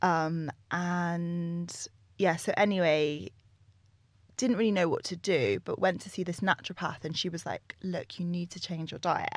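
Speaking at a fairly slow pace in a southern English accent, the voice keeps fairly even intonation but shows big swings in loudness over a quiet background. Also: woman, fairly low pitch for a woman. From London, England. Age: 30s. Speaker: nutritionist and yoga teacher. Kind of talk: casual interview chat.

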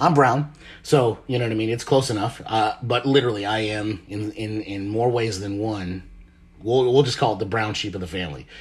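Somewhat breathy, a man speaks fairly quickly in a fairly low voice with ordinary pitch variation. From Marshall Islands. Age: 30s. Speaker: podcast host. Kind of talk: casual monologue.

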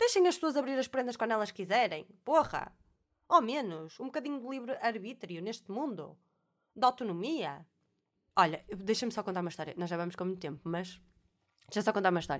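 An animated woman's voice, fairly high in pitch, with very wide pitch swings, big swings in loudness and long, frequent pauses, on a very clean recording with a silent background. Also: fairly quick pace. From Portugal, Alfena (Porto area). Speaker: podcast host. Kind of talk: casual monologue.

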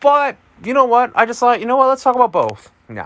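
The voice belongs to a man and sits fairly high in pitch. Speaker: music podcast host. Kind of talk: solo podcast album review. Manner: fast.

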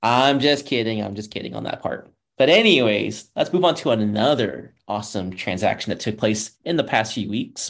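With hardly any pauses, a man talks at medium pitch in a normal speaking voice. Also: ordinary pitch variation, moderate pace. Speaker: podcast host and motorsports journalist. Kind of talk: casual chat.

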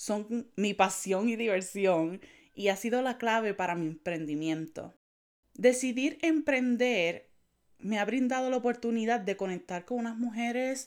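In a Puerto Rican accent, a woman with a fairly high pitch and lively intonation speaks at a very slow pace on a very clean recording with a silent background. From Puerto Rico, Naranjito. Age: 20s. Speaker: tech consultant for women entrepreneurs. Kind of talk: podcast monologue.

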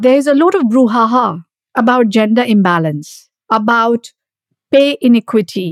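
In an ordinary speaking voice, a woman talks at a moderate pace and fairly high pitch with lively intonation, the sound dry and close with no echo. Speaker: podcast host. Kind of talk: interview.

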